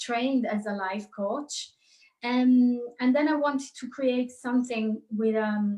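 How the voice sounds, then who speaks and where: Somewhat breathy speech in an Italian accent moves at a fairly slow pace with fairly even intonation. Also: woman. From Italy. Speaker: psychologist and life coach. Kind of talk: interview. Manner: halting.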